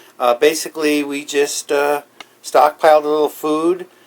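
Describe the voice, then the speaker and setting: This man talks at a fairly slow pace, his pitch fairly high. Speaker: prepping channel host. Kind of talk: tutorial. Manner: casual, hesitant with fillers.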